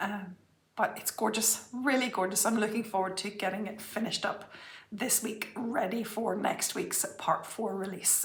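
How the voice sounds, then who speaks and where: A woman speaks in a fairly high pitch with fairly even intonation over noticeable background noise. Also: moderate pace. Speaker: cross-stitch vlogger. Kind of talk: casual chat.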